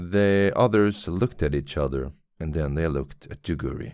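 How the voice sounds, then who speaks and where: This man has a very deep, low pitch and a Swedish accent. He talks at a moderate pace with lively intonation, and the recording is very clean with a silent background. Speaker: podcaster reading fiction aloud. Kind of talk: reading aloud.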